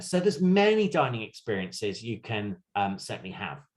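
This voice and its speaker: Lively intonation and a somewhat breathy voice, on a very clean recording with a silent background. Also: man. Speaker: cruise line sales representative. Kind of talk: virtual sales presentation. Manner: fast.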